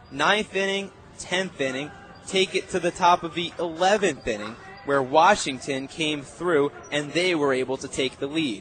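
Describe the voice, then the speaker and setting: Over noticeable background noise, a man with a fairly high voice speaks in an excited, energetic tone. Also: ordinary pitch variation, moderate pace. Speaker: radio play-by-play announcer. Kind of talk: sports radio postgame recap.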